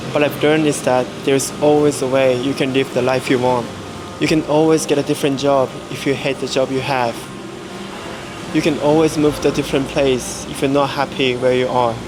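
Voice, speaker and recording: A man's fairly high-pitched, monotone, flat delivery at a fairly quick pace, over noticeable background noise. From Japan. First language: Japanese. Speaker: travel vlogger. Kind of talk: vlog narration.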